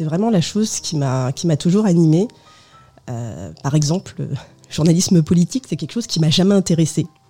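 A woman talking at a fairly quick pace over background music. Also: fairly low pitch for a woman, lively intonation. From France, of Portuguese parents. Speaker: biographer, former journalist. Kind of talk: radio interview. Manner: hesitant, many fillers.

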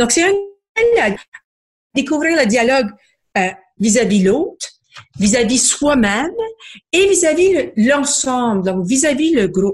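Her high pitch swinging very widely, a woman speaks very slowly with long, frequent pauses and very even loudness. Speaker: book club founder, book reviewer. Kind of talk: book review segment.

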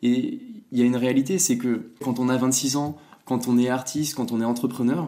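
The man's tone is dark and mellow. He speaks at medium pitch with fairly even intonation. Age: 20s. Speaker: startup founder. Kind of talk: interview.

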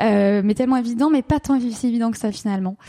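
Her dark, mellow tone is somewhat breathy and fairly high-pitched, the intonation fairly even, on a very clean recording with a silent background. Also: dry, close sound with no echo. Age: 30s. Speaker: couples therapist and sex therapist. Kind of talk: interview.

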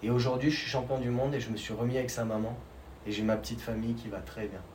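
There is noticeable background noise and audible room echo. A man of medium pitch talks at a moderate pace. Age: 30s. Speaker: snowboard champion. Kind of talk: interview. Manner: halting, with many repetitions.

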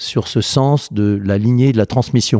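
A man speaks in a dark, mellow tone with ordinary pitch variation. The sound is dry and close with no echo, on a very clean recording with a silent background. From France, southern Burgundy. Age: 50s. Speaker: spirits producer and distiller. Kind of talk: interview conversation. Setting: on a farm. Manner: halting, repeated words.

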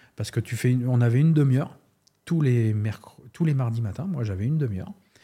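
In a very clean recording with a silent background, a man with a dark, mellow tone and a medium pitch speaks in a somewhat breathy voice with lively intonation. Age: 50s. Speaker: sports coach and university lecturer. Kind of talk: casual interview.

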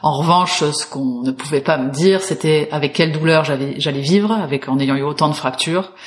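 This woman's voice is very deep and low in pitch. It shows ordinary pitch variation. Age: 30s. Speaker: movement teacher. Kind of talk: interview testimony.

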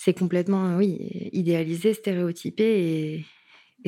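Speaking at a fairly slow pace, a woman with a fairly low, dark and mellow voice keeps a flat, monotone delivery on a very clean recording with a silent background. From Paris suburbs, France. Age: 20s. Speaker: illustrator and activist. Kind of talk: interview testimony.

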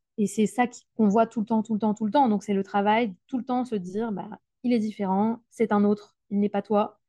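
A woman speaks fairly high in pitch, somewhat breathy, with a dark, mellow tone. Her intonation is monotone and flat. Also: moderate pace, dry, close sound with no echo. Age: 20s. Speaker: primary school teacher. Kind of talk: interview conversation. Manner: hesitant with fillers and repetitions.

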